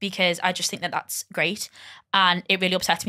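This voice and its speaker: In a Liverpool accent, a woman talks very fast at a fairly low pitch with monotone, flat intonation. Her tone is bright and sharp, and the background is quiet. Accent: Scouse. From Liverpool, England. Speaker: comedy podcast guest; podcast guest. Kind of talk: casual chat. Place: studio. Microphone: studio mic.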